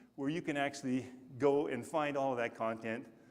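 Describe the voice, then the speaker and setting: At a fairly quick pace, a man speaks with ordinary pitch variation over audible room echo. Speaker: conference speaker. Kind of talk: conference talk. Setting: stage with audience.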